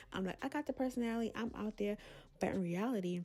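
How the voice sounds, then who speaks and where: Her dark, mellow tone carries lively intonation as the woman speaks at a fairly quick pace. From Brooklyn, New York. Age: 20s. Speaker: content creator. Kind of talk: casual talk to camera. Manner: candid, chatty.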